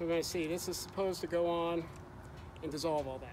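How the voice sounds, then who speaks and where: A man's voice over noticeable background noise. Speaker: RV owner reviewing a product. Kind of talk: casual vlog chat. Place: street.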